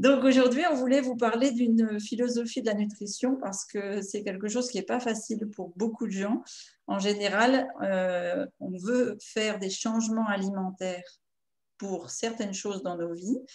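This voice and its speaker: A woman with a fairly high voice and ordinary pitch variation takes a fairly slow pace. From northern France, Picardy (Amiens). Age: 50s. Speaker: nutritionist and naturopath. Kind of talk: nutrition workshop talk. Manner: hesitant, many filler sounds.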